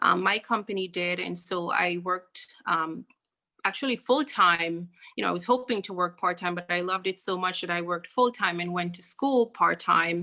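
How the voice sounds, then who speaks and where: This woman's voice sits fairly low and has a bright, sharp tone. She talks at a moderate pace with ordinary pitch variation. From Jamaica. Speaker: bank branch manager. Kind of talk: interview.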